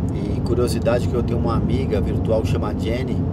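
A man talks at a moderate pace. The sound is dry with no echo, but background noise is loud. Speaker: travel show host. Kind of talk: casual vlog chat. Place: car.

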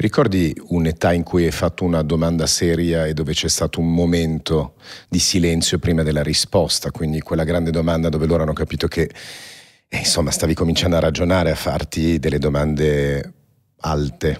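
A man with a very deep, low voice talks fairly quickly in a monotone, flat delivery. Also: quiet background. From born in Paris. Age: 40s. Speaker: podcast host, entrepreneur. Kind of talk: interview. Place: studio. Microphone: studio mic.

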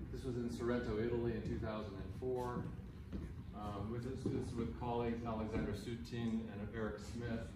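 A man's very fast speech amid audible room echo and noticeable background noise. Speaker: conference presenter. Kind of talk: memorial talk with slides. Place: hall.

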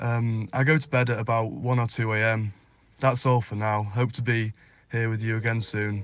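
Against a quiet background, a man with a British accent and medium pitch speaks at a moderate pace with monotone, flat intonation. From Northeast England. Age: 20s. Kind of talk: scripted self-introduction read for English learners.

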